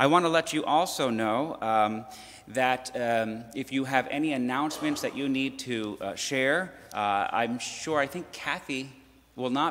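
This man talks at a moderate pace with ordinary pitch variation. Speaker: minister. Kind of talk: church announcements and welcome. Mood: warm, welcoming. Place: church. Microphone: podium.

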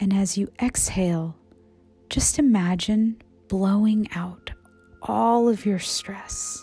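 At a very slow pace with long, frequent pauses, a woman speaks in a calm tone and medium pitch while music plays in the background. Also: ordinary pitch variation. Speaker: meditation guide. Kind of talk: guided meditation. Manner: calm, slow.

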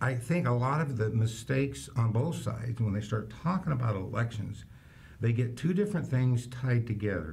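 A man's voice with vocal fry at a moderate pace and very even loudness. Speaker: county election official. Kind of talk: interview. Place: studio.

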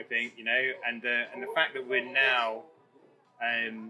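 A man keeps a moderate pace as music plays in the background. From London. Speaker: tech training company founder and CEO. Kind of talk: interview. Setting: in person, sitting down.

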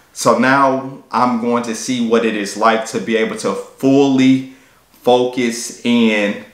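Against a quiet background with audible room echo, the speech moves very slowly with fairly even intonation. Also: man. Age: 30s. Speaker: fitness YouTuber and personal trainer; fitness vlogger. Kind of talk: vlog monologue. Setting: at a work desk. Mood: reflective, earnest. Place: home room.

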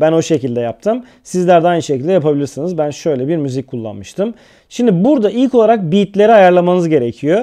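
A man with a high pitch and a dark, mellow tone talks at a fairly quick pace with hardly any pauses and very wide pitch swings. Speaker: video editing tutorial youtuber. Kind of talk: tutorial.

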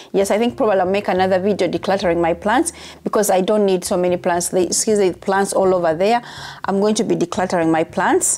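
A woman speaks at a very fast pace and a medium pitch, with ordinary pitch variation. Her loudness stays very even, and light background noise sits behind her. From Uganda. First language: Ugandan language (not English). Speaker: YouTuber and nurse; YouTuber. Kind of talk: casual vlog monologue. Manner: halting, repeats words; casual, chatty. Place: home room. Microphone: lapel.

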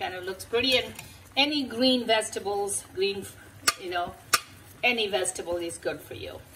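Amid noticeable background noise, the speech runs at a moderate pace with ordinary pitch variation and long, frequent pauses. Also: woman, medium pitch for a woman. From Nepal. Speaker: home cooking video host. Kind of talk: cooking tutorial; tutorial. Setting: home kitchen. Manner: hesitant with frequent fillers. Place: kitchen. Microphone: phone near.

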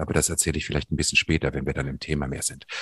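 The voice has vocal fry and a dry, close sound with no echo. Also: man. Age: 50s. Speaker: podcast co-host. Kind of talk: personal conversation on a podcast.

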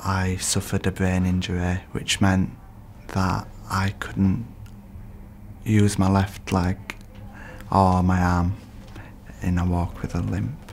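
In a Yorkshire accent, a man with a very deep, low pitch speaks very slowly with fairly even intonation and long, frequent pauses. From northern England, Leeds. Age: 20s. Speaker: performing arts student and campaigner. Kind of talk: interview; documentary narration.

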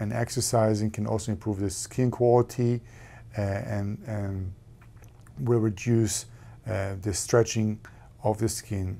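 The speaker is a man. A dark, mellow quality marks his tone. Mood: calm, measured. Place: office. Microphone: lapel.

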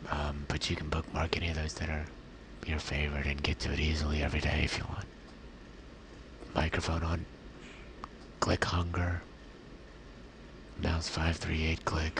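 A soft-spoken man with a very deep, low pitch talks in a flat monotone, pausing long and often over noticeable background noise. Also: moderate pace. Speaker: ventilator-dependent quadriplegic. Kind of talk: software tutorial demo.

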